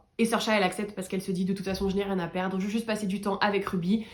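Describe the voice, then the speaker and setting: An animated tone comes through in a somewhat breathy voice. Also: woman. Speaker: book reviewer youtuber. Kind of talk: casual book review vlog.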